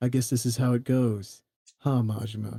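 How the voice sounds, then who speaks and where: A man uses a gruff, put-on character voice at medium pitch and a moderate pace. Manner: tough, posturing, not really yelling.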